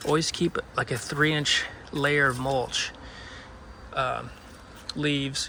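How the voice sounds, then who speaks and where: Against noticeable background noise, a man with a fairly high pitch speaks very slowly in a flat monotone at very even loudness, leaving long, frequent pauses. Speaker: gardening video host. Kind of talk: tutorial. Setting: outdoors at night in a city yard. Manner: whispering; casual, with fillers and restarts.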